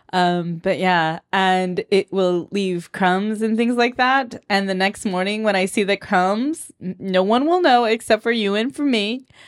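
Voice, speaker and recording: A woman with a Southern California accent, playful in tone, at medium pitch and a fairly slow pace, on a very clean recording with a silent background. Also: ordinary pitch variation. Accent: Southern California Valley Girl. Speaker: podcast host. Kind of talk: casual chat. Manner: laughs often, playful.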